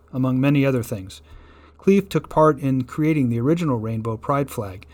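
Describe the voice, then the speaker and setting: With lively intonation at a moderate pace, this is an unremarkable speaking voice. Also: man. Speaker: news reader. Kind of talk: news reading. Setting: radio studio.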